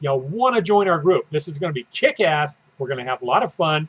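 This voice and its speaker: A man's enthusiastic tone with lively intonation at a moderate pace, dry and close with no echo. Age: 60s. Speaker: fitness coach. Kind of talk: casual promotional video talk. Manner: halting, many fillers.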